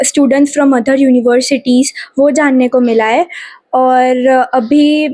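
A woman's high-pitched voice carries a dark, mellow tone and fairly even intonation. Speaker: university student. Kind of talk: interview.

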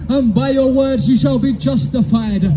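Over music in the background, a man speaks at a moderate pace with very wide pitch swings. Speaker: street preacher. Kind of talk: sermon. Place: street. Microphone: handheld.

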